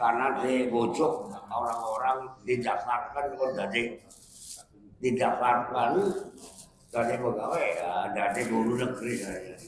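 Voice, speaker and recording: Speaking at a very slow pace in a room with audible echo, a man's somewhat breathy voice sits at a medium pitch. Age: 80s+. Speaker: Islamic preacher, retired teacher. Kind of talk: religious study talk with Q&A.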